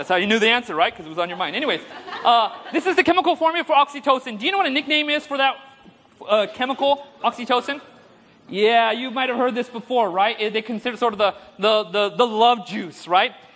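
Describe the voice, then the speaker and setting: An animated voice races along at a very fast pace over noticeable background noise. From India. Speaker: preacher. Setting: conference stage with audience. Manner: humorous, engaging, audience-prompting.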